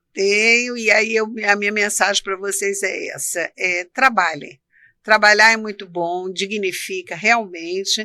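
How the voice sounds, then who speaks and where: A woman at medium pitch with a bright, sharp tone, fairly even intonation and a fairly slow pace, in a very clean recording with a silent background. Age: 60s. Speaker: co-founder of a charitable institute. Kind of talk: podcast interview.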